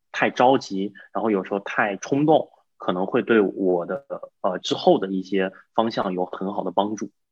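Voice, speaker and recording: This is a man with an ordinary speaking voice and a fairly low pitch. He keeps a moderate pace with ordinary pitch variation. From China. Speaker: real estate investor. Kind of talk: interview.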